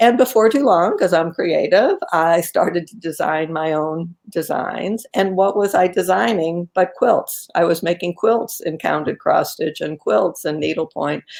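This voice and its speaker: With an ordinary speaking voice, a woman talks at a fairly slow pace and fairly low pitch, using lively intonation and hardly any pauses. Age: 60s. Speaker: quilter and author. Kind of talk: casual interview. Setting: live video stream.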